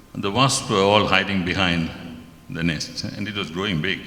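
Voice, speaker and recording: The room echo is audible. A man speaks at a moderate pace within it. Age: 70s. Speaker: devotee sharing an experience. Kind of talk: testimony.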